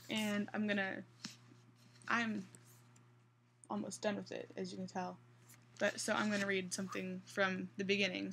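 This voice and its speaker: A woman talks at a moderate pace but pauses often and at length. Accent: slight Midwestern. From US Midwest, central Kansas. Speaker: vlogger. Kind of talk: casual vlog. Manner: hesitant.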